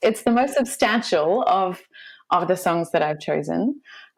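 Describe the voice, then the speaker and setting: The speaker has an Australian accent and lively intonation at a moderate pace. The recording is very clean, with a silent background. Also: woman. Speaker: classical singer. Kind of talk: casual chat.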